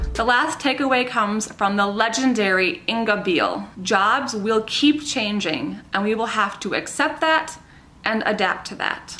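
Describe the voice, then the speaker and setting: Over noticeable background noise, a woman talks at a fairly slow pace. Her fairly high voice has lively intonation. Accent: American. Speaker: insurance professional. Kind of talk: scripted commentary to camera.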